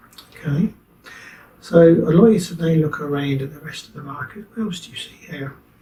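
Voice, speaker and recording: At a fairly quick pace, a man with a fairly high pitch and ordinary pitch variation speaks in a plain, everyday voice. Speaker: hypnotherapist. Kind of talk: hypnosis session guidance.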